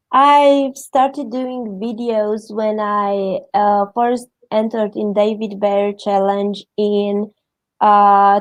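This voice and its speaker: Very slowly and with fairly even intonation, a woman with a Romanian accent speaks in a fairly high pitch. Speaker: interview guest. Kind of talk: interview. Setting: livestream.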